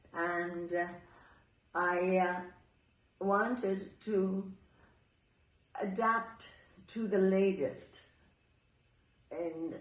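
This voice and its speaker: A woman speaks at a fairly low pitch with ordinary pitch variation, and room echo is audible. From New York City. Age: 80s+. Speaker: Pilates teacher and former ballet dancer. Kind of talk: interview. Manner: halting.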